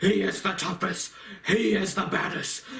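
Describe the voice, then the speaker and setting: A man puts on a character voice at a high pitch, speaking at a fairly slow pace. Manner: gruff, boastful, threatening.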